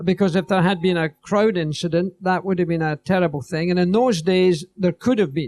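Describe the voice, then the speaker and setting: The man's high pitch carries ordinary variation, and the sound is dry and close with no echo. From Scotland. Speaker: retired racing driver. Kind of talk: interview answer.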